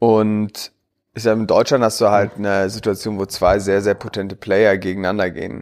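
A man's fairly low, monotone voice with flat intonation at a moderate pace, in a very clean recording with a silent background. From Berlin, Germany. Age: 30s. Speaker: tech entrepreneur. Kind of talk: podcast interview. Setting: in person in Berlin.

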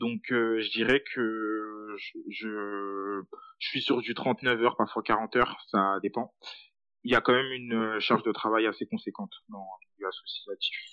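A man with a medium-pitched voice speaks at a fairly slow pace in a monotone, flat intonation, with big swings in loudness. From Paris suburbs, France. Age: 20s. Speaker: student working in a nonprofit. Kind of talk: interview testimony.

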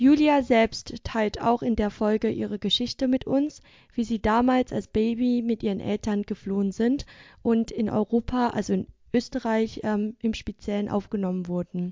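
A woman with an ordinary speaking voice talks at a moderate pace, her fairly high pitch kept in fairly even intonation. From Vietnam. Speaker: podcast host. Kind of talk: scripted intro and interview. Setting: video call.

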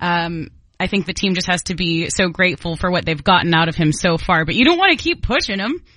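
Enthusiastic and bright, sharp in tone, a woman with a fairly low pitch and ordinary pitch variation talks at a very fast pace against a quiet background. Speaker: radio co-host. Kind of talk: casual chat. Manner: enthusiastic, friendly.

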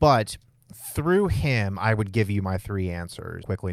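In a very clean recording with a silent background, a man speaks in a normal speaking voice, fairly low in pitch and at a fairly slow pace. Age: 30s. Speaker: podcast host and church elder. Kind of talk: casual chat.

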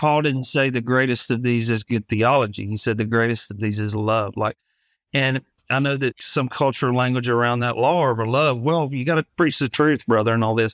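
In a very clean recording with a silent background, a man speaks with an Alabama accent at a moderate pace. His medium-pitched voice has fairly even intonation, and the sound is dry and close with no echo. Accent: Alabama, drops T's. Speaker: pastor. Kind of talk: interview.

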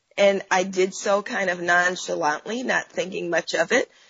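Medium-pitched woman with an American accent, vocal fry and a fairly slow pace. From Oakland, California. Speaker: activist and professor. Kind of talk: interview.

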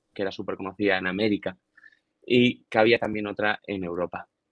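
Fairly even intonation from a man's fairly low voice, delivered at a very fast pace. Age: 20s. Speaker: long drive golfer and physiotherapist. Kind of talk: interview.

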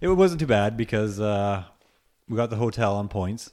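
A man talks at a moderate pace with a fairly low pitch. His intonation is lively and his tone slightly mellow.

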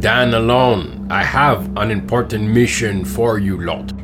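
A man's put-on character voice, fairly low in pitch and fairly slow, over loud background music. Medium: audio drama. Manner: formal, commanding.

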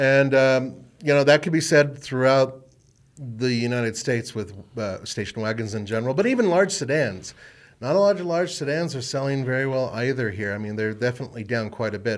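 A man has a normal speaking voice at a medium pitch. He talks at a fairly quick pace with lively intonation. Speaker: automotive podcast host. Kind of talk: casual chat. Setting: studio.

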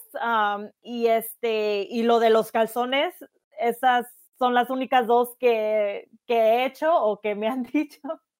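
At a very slow pace, a woman with a fairly high pitch talks with fairly even intonation. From Jalisco, Mexico. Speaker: podcast co-host. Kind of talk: casual chat.

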